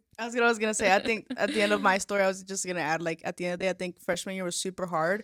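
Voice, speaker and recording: Very fast and with hardly any pauses, a woman with a Spanish accent talks at medium pitch with fairly even intonation. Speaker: podcast co-host. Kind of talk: casual chat. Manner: halting, many fillers and restarts.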